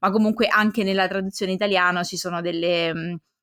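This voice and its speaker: Recorded very cleanly against a silent background, with a dry, close sound and no echo, a woman with a fairly low pitch talks at a very fast pace with fairly even intonation. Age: young. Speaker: podcast co-host. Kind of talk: casual chat.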